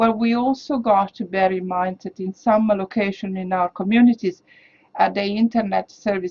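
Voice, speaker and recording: The delivery holds a moderate pace with fairly even intonation. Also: woman. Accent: non-native. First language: not English. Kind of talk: interview. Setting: studio.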